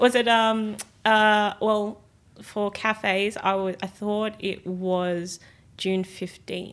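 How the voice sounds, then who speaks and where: A woman speaks very slowly at a medium pitch, in a monotone, flat delivery. The recording is very clean, with a silent background. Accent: Australian. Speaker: youth political activist. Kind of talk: casual chat. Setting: studio.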